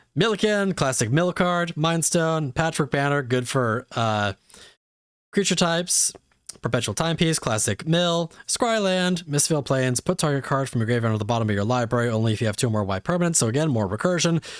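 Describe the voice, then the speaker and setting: On a very clean recording with a silent background, a man with a fairly high voice talks at a fairly quick pace, his pitch swinging very widely while his loudness stays very even. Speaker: streamer. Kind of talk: livestream unboxing. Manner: fast.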